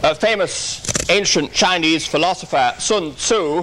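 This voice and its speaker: The speaker is a man with a high pitch. His pitch shows ordinary variation. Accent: English. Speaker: workshop lecturer on terrorism. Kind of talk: conference lecture. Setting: conference hall with audience. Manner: formal.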